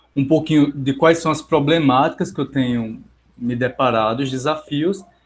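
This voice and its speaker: With a fairly high voice and ordinary pitch variation, a man speaks at a moderate pace. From Brazil, Paraíba (João Pessoa). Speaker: psychologist. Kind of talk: online lecture. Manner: hesitant, many fillers.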